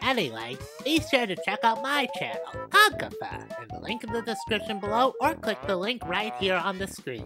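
A put-on character voice, raised and projected, comes at a fairly high pitch and a moderate pace. Clear music plays in the background.

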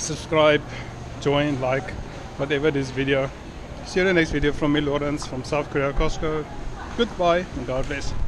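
Against noticeable background noise, a man talks at a moderate pace with fairly even intonation. He leaves long, frequent pauses. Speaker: vlogger. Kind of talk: casual vlog chat. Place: shop. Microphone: phone near.

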